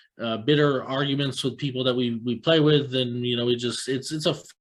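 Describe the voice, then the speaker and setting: A man with an American accent talks at a fairly quick pace and medium pitch in an ordinary speaking voice with fairly even intonation. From US, Tampa Florida. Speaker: chess podcast host. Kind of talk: casual interview.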